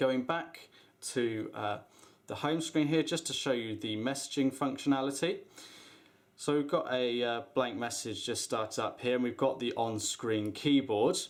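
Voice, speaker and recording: This man has an unremarkable speaking voice at a medium pitch. He talks at a moderate pace with ordinary pitch variation. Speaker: tech product reviewer. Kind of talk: product demo / unboxing tutorial.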